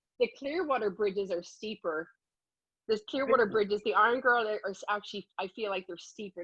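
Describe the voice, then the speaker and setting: Speaking at a moderate pace with an Irish accent, a woman sounds enthusiastic, her pitch fairly high. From Dublin, Ireland. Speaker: health and fitness enthusiast. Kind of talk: interview answer.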